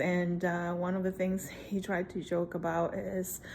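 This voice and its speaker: Speaking with a Spanish accent, a woman uses a medium pitch and a relaxed tone. Her pace is very slow. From Puerto Rico. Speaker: vlogger. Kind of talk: casual vlog chat. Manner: relaxed, hesitant with fillers.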